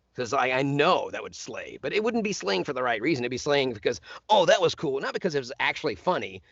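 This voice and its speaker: The voice moves at a very fast pace with an energetic tone and vocal fry. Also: man. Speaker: voice actor; stand-up comedian. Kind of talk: casual radio interview talk. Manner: joking, energetic.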